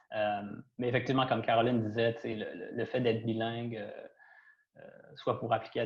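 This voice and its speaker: Monotone, flat intonation with a somewhat breathy quality. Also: man. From Quebec, Trois-Rivières. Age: 30s. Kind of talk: panel discussion. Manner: hesitant, many fillers.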